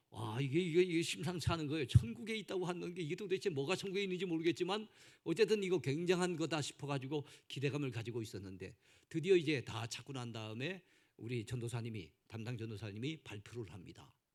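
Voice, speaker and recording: A man's fairly high voice at a very fast pace, with very wide pitch swings and big jumps in loudness. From South Korea, Gangwon Province. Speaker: pastor. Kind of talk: sermon. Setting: church.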